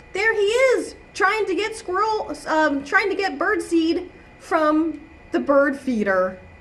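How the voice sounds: A woman speaks slowly at an extremely high pitch, her intonation lively and her tone fairly bright. Audible room echo surrounds her voice.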